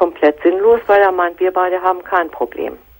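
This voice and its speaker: The voice belongs to a woman. She talks at a fairly quick pace. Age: 50s. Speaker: caller. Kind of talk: personal phone-in conversation. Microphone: phone line.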